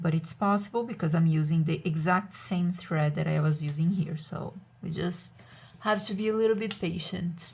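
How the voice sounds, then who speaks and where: This woman's voice is somewhat breathy. She has a non-native accent. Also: fairly low pitch for a woman, fairly even intonation, moderate pace. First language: not English. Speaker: witchcraft crafts content creator. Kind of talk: casual tutorial. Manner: relaxed, hesitant with fillers.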